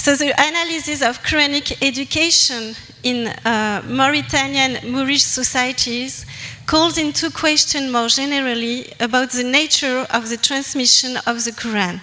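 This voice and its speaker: A woman's raised, projected voice, high-pitched with ordinary pitch variation and a strong French accent, at a moderate pace, with audible room echo and noticeable background noise. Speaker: anthropologist presenter. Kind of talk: academic presentation. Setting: conference with audience. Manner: halting.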